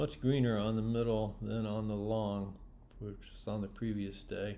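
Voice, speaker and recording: A man speaks at a moderate pace in a fairly low pitch, his dark, mellow tone delivered with monotone, flat intonation. Audible room echo surrounds his voice. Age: 60s. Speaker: orienteering competitor. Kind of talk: casual video commentary. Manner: casual.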